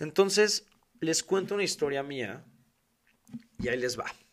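On a very clean recording with a silent background, a man with a Mexican accent speaks with lively intonation. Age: 20s. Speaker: podcast host. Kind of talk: casual monologue. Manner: talkative.

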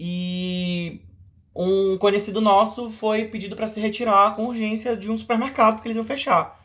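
Here a man speaks at a moderate pace with a high pitch. His intonation stays fairly even. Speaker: podcast host. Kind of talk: casual chat.

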